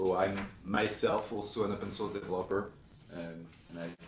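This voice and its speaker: Intonation stays fairly even, with a strong non-native accent. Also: man. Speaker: software company executive and open source developer. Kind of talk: webinar presentation.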